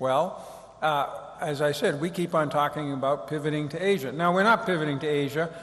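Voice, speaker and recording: Here a man speaks with an American accent. His pace is fairly quick and his pitch varies in an ordinary way. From United States. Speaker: former diplomat. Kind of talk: lecture. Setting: stage with audience. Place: hall. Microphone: studio mic.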